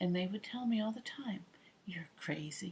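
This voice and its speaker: A woman talks at a moderate speed. She uses lively intonation. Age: 50s. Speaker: retired air traffic controller. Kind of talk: casual talk to camera.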